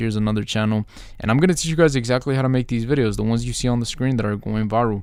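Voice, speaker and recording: At a very fast pace, a man speaks with fairly low pitch and fairly even intonation. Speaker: YouTube content creator and mentor. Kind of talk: tutorial. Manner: casual, hesitant with fillers.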